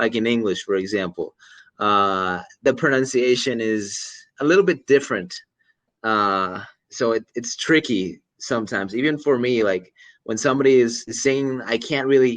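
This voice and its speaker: Against a quiet background, a man talks with a Pacific Northwest accent. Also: medium pitch for a man, ordinary pitch variation, moderate pace. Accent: American, Pacific Northwest. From US, Oregon. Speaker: online English tutor. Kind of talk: casual conversation lesson.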